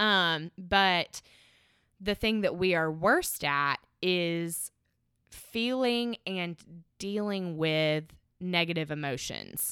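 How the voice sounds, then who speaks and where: On a very clean recording with a silent background, a woman with a bright, sharp tone and a fairly low pitch speaks at a very slow pace, with long, frequent pauses and ordinary pitch variation. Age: 20s. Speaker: podcast guest, host's longtime friend. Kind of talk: casual chat. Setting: at the beach.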